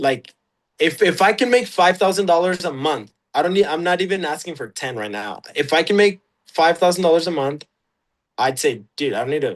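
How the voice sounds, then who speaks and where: Speaking at a fairly quick pace with a Mexican accent, a man uses a high pitch and lively intonation. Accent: Mexican Spanish accent, natural. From Mexico, Chihuahua. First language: Spanish. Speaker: UGC content creator. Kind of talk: casual interview. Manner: halting, many fillers and restarts.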